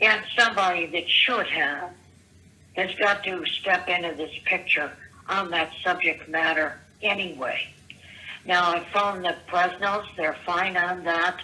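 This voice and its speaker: Over noticeable background noise, a woman talks with fairly low pitch and fairly even intonation. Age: 70s. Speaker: caller leaving voicemails. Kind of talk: voicemail rant. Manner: halting.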